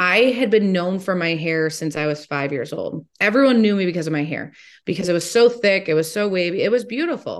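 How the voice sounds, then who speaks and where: With an unremarkable speaking voice, a woman talks at a fairly quick pace in a medium pitch, her intonation lively against a quiet background. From Ohio, Toledo. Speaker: motivational speaker and teacher. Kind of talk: interview.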